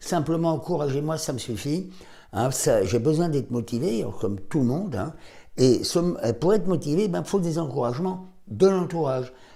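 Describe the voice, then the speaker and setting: A man with a fairly high pitch and a dark, mellow tone speaks at a moderate pace, somewhat breathy and with lively intonation, in a room with audible echo. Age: 70s. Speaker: doctor. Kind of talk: health advice talk to camera.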